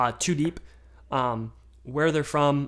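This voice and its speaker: A man with an American accent, fairly high pitch, and ordinary pitch variation. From Michigan. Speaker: sports podcaster. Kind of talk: casual solo podcast.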